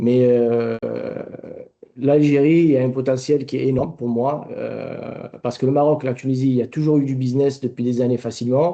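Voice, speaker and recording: His intonation fairly even, a man talks at a medium pitch. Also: moderate pace. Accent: southern French. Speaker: company director, export testimony. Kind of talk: webinar testimony.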